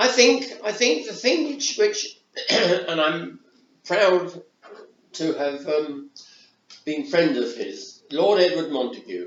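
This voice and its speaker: Speaking at a very slow pace with long, frequent pauses, a man uses a high pitch and very wide pitch swings. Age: 80s+. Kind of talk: interview answer. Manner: hesitant, repetitive.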